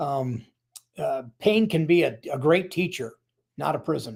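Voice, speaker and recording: At a fairly slow pace, a man speaks with an American accent. His pitch is fairly high and his voice somewhat breathy. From US Midwest, South Dakota. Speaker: author and Navy veteran. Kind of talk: interview. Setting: live stream call. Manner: halting, many fillers.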